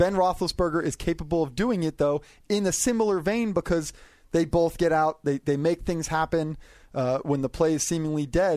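An unremarkable speaking voice at a moderate pace, with ordinary pitch variation and very even loudness. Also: man, fairly high pitch for a man. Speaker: NFL media columnist. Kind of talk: casual chat. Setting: studio.

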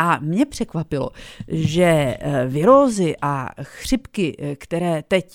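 In a dry, close sound with no echo, a woman talks with lively intonation. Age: 50s. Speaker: radio host. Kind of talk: radio interview.

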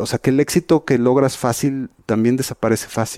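The pace is moderate. A man talks in a dark, mellow tone. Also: dry, close sound with no echo. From Mexico. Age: 50s. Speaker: magazine publisher. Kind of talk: interview.

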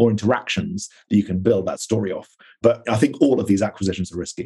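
A man's dark, mellow tone at a very fast pace. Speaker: marketing executive. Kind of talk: interview.

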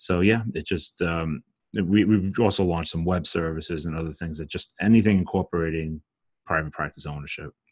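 Against a quiet background, a man with a Brooklyn accent talks at a fairly quick pace in a very deep, low pitch with fairly even intonation, the sound dry and close with no echo. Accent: Brooklyn New York. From Brooklyn, New York. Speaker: dietitian and business owner. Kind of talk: casual interview chat.

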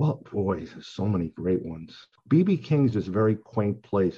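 Against a quiet background, a man with an American accent speaks in a fairly low pitch with a dark, mellow tone. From Long Island, New York. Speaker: songwriter. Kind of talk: interview.

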